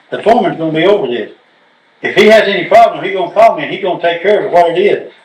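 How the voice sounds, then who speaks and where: A man with a Southern US accent at a very fast pace. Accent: rural Southern US dialect. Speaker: county commissioner. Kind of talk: casual talk in a county meeting.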